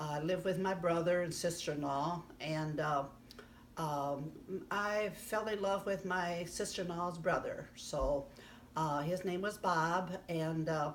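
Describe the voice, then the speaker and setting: A woman with an American accent, fairly low in pitch, at a fairly slow pace with fairly even intonation, in audible room echo. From US Midwest, southern Illinois. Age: 80s+. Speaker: grandmother interviewee. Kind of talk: casual life-story interview. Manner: halting, many fillers.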